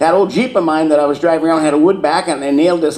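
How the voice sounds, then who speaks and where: A man with an American accent, fairly high in pitch, at a very fast pace, with audible room echo and noticeable background noise. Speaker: agricultural expert. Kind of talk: conference talk. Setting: stage with audience.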